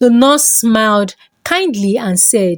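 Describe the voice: Over a dry, close sound with no echo, a woman talks slowly at a fairly high pitch with lively intonation.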